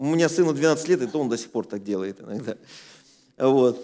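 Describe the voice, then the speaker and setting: The pitch swings very widely. The tone stays dark and mellow. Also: man. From former Soviet Union. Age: 40s. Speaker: pastor. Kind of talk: sermon.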